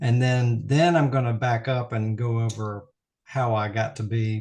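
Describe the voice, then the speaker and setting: A man speaks at a fairly slow pace in an American accent, his voice medium-pitched and somewhat breathy. His intonation stays fairly even over a quiet background. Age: 60s. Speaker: optometrist. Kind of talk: interview. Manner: halting.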